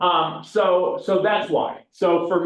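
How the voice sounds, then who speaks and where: A man is speaking. The room echo is audible. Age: 60s. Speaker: CPA and real estate class instructor. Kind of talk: lecture. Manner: casual, conversational.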